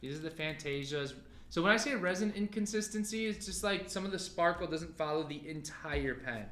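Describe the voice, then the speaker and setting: Over noticeable background noise, a man speaks loudly at high pitch. His pace is fairly quick. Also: lively intonation. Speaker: livestream pen sale host. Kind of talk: live sale stream chat.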